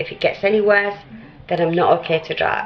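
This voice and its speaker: Over music in the background, a woman talks fairly quickly at medium pitch with fairly even intonation. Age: 60s. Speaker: vlogger. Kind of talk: casual chat. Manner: chatty.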